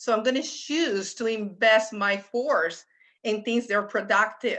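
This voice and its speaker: Someone with a Puerto Rican accent talks at a fairly slow pace in a bright, sharp tone, with ordinary pitch variation over a quiet background. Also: woman, fairly high pitch for a woman. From Puerto Rico, San Juan. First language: Spanish. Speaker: economics professor. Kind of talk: panel discussion.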